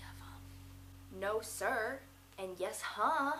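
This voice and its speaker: A woman with an American accent makes very wide pitch swings. Music plays in the background. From Massachusetts, New England. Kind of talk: casual vlog talk to camera.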